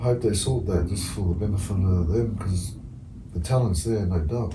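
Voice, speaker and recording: Over noticeable background noise and audible room echo, a man with a very deep, low pitch speaks at a moderate pace, with ordinary pitch variation and very even loudness. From New Zealand. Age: 30s. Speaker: former rugby league player. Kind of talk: casual chat.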